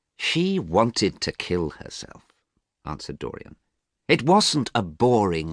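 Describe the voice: Someone does plain reading aloud against a quiet background.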